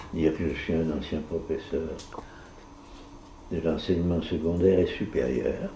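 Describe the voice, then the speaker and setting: A man with a very deep, low pitch and dark, mellow tone, vocal fry and fairly even intonation, at a fairly slow pace with long, frequent pauses and audible room echo. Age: 80s+. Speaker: retired teacher. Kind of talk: casual chat. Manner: soft-spoken.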